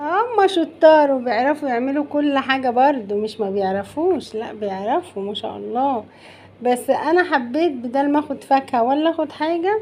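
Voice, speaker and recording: Someone with an Egyptian accent speaks at a fairly slow pace with lively intonation. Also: woman. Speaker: cooking channel host. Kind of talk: cooking tutorial. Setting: home kitchen. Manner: loud; animated.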